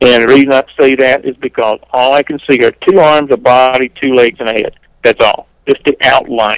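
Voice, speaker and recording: A normal speaking voice comes at a moderate pace with fairly even intonation. The sound is dry and close, with no echo. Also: man, medium pitch for a man. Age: 40s. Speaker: whistleblower. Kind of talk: interview.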